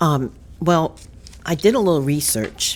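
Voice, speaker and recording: A woman with a New York accent speaks at a very slow pace with lively intonation. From New York City, the Bronx. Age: 70s. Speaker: poet and photographer. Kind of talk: podcast conversation. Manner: halting, many fillers.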